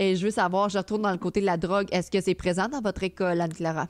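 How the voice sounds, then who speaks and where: Speaking with a Quebec accent, a woman at medium pitch keeps her intonation fairly even in a dry, close sound with no echo on a very clean recording with a silent background. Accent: Québécois French. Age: 30s. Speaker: streamer and podcast host. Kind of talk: casual chat. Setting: live stream with chat.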